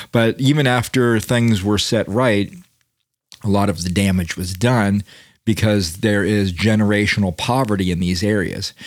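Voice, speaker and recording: A man with an American accent has a normal speaking voice and a fairly low pitch. He speaks at a moderate pace with ordinary pitch variation. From Florida, US South. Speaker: podcast host. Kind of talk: casual chat.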